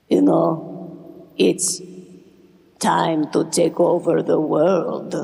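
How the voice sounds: A put-on character voice speaks at a very slow pace. It sits at a middle pitch and sounds raspy.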